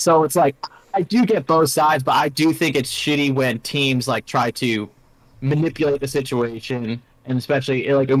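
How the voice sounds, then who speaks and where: This man's voice sits fairly high, with ordinary rise and fall in pitch. He speaks at a fairly quick pace. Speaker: sports podcast host. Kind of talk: casual chat. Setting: live stream. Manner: loud; animated, varied pitch.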